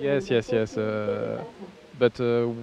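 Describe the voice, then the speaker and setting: A man speaks in a French accent with ordinary pitch variation over noticeable background noise. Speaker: youth football head coach. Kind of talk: post-match interview. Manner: halting.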